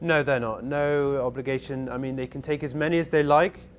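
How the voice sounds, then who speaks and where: A man's fairly high voice with a southwest English accent, fairly even intonation and a fairly quick pace. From southwest England, Bath. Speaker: cruise ship videographer. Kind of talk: casual interview.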